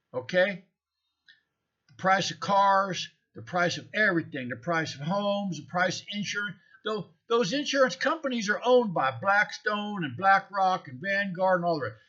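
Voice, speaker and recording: A man projects a raised, high-pitched voice with a bright, sharp tone at a moderate pace. His intonation is lively and his loudness swings widely. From United States. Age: 60s. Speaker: vlogger. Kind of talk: casual monologue. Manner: animated.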